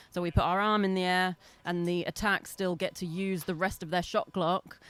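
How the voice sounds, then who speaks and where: The recording is very clean, with a silent background. A woman with an English accent speaks at a moderate pace and a fairly low pitch. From England, London. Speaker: lacrosse referee. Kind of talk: interview.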